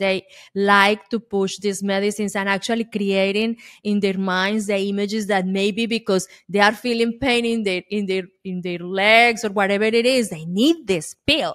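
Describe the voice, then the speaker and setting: Speaking with a Colombian accent, a woman at medium pitch keeps a moderate pace and fairly even intonation. The recording is very clean and silent, with a dry, close sound and no echo. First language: Spanish. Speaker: podcast host, engineer. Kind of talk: interview.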